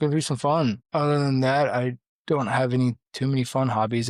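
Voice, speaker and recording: A man at medium pitch talks very fast in an American accent, his intonation monotone and flat. The recording is very clean with a silent background and a dry, close sound with no echo. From Central Florida. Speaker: podcast host. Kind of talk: casual chat.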